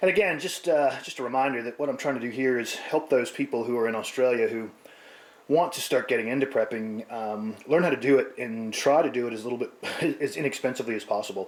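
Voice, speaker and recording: Over noticeable background noise, a man with an American accent talks very fast at a medium pitch with ordinary pitch variation. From United States. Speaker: prepping vlogger. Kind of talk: casual vlog talk. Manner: hesitant, many fillers.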